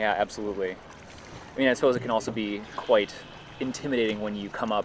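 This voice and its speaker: A man talks at a very fast pace with an American accent. His intonation is monotone and flat, and background noise is noticeable. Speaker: livestream commentator. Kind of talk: live event commentary and interview.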